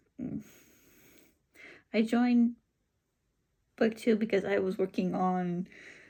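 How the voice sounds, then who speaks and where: A woman with a Californian accent, medium pitch, and a dark, mellow, somewhat breathy tone speaks at a fairly slow pace with fairly even intonation and long, frequent pauses. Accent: Californian American English. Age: 30s. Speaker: book vlogger. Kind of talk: casual vlog talk. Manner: halting, many ums.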